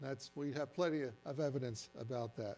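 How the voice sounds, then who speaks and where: With an American accent, a man is talking. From New Jersey. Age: 70s. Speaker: retired science teacher, science presenter. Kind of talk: science presentation to audience. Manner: conversational, interactive.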